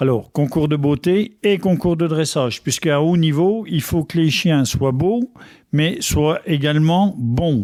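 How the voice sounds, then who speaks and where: This man's fairly high voice carries lively intonation at a very slow pace, his loudness staying very even. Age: 60s. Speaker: dog breeder. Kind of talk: radio interview.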